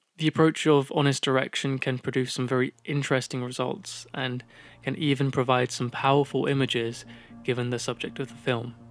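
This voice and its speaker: Music plays in the background as a man at a medium pitch speaks at a fairly quick pace in a monotone, flat intonation. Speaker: video essayist. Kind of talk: video essay narration. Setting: home studio.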